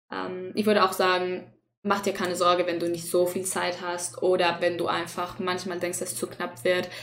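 A woman with a fairly low pitch speaks at a moderate pace in monotone, flat intonation. Audible room echo is present. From Chile. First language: Spanish (speaking German). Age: 20s. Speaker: student podcast host. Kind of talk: casual chat.

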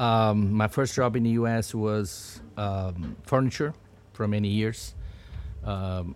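Here is a man with a Portuguese accent. His pace is fairly slow. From Brazil, Sao Paulo. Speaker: business owner. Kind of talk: interview conversation. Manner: halting, with fillers.

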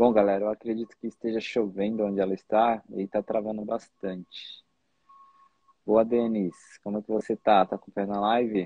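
A man's fairly low voice at a moderate pace, monotone and flat, with big swings in loudness. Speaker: podcast host, tattoo artist. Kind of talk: interview. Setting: video call.

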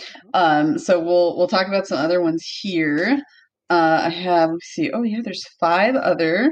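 An ordinary speaking voice from a woman, fairly low in pitch, at a moderate pace with lively intonation and big swings in loudness. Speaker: podcast host. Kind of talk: casual chat. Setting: home room with echo.

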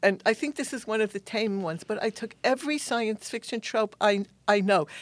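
A woman's fairly high voice with a New York accent, at a moderate pace and with ordinary pitch variation, in a very clean recording with a silent background and a dry, close sound with no echo. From New York City, Queens. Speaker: science fiction author and academic. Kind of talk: interview. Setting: studio.

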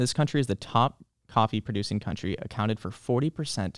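There is vocal fry in this man's medium-pitched voice, which shows ordinary pitch variation. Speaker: library podcast host. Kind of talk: casual chat. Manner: friendly, conversational.

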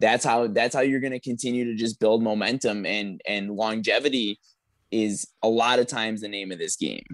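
An unremarkable speaking voice belongs to this man, pitched in the middle range. His delivery keeps a moderate tempo and a fairly even intonation. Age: 20s. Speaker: powerlifter and coach. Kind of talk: casual chat.

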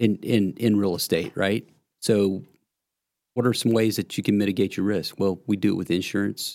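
This man has a normal speaking voice, with fairly low pitch, a moderate pace and fairly even intonation, on a very clean recording with a silent background. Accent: American. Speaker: real estate investor. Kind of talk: casual chat.

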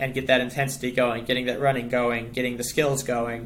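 A man with an American accent speaks at a medium pitch in a flat monotone. His tone is bright and sharp, and room echo is audible. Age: 20s. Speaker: professional cyclist. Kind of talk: casual chat.

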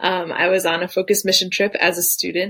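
Moving at a fairly quick pace, a woman with a fairly low pitch has an unremarkable speaking voice. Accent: American. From Detroit, US Midwest. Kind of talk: testimony.

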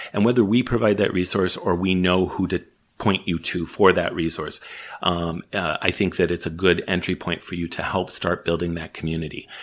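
In a very deep, low voice, a man speaks with fairly even intonation. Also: moderate pace, very clean recording, silent background. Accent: Chicago. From US Midwest, Chicago. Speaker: small business organization CEO. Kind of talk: interview.

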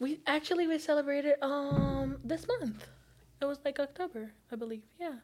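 There is noticeable background noise behind a woman speaking at a high pitch. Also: ordinary pitch variation, moderate pace. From Brazil. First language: Portuguese. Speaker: psychology student. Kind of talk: casual chat.

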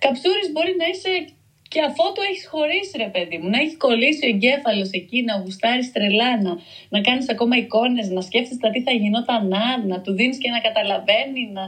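A woman with a high voice lets her pitch swing very widely while keeping a moderate pace. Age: 30s. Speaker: writer. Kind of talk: casual interview chat.

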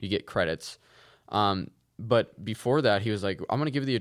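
At a moderate pace, a normal speaking voice comes through on a very clean recording with a silent background. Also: man. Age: 20s. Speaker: podcast co-host. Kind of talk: casual chat.

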